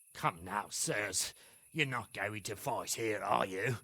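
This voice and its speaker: A man puts on a raspy character voice, fairly low in pitch, and talks at a fairly slow pace. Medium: video game. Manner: blunt, folksy.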